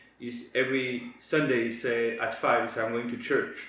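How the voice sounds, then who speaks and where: A man with a French accent and monotone, flat intonation, with noticeable background noise and audible room echo. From France. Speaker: co-host of a wellness channel. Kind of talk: casual chat. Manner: halting.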